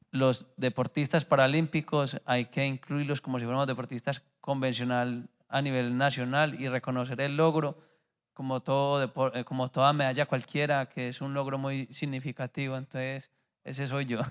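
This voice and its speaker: This man speaks in a flat monotone, recorded very cleanly against a silent background with a dry, close sound and no echo. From Colombia. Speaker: Paralympic athlete. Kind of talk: panel discussion.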